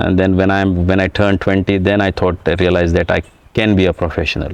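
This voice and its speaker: Delivered at a very fast pace, the speech has monotone, flat intonation and very even loudness. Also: man, very deep, low pitch for a man. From India, Goa (Bardez, North Goa). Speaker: retired footballer. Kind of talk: interview. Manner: halting, many fillers and restarts.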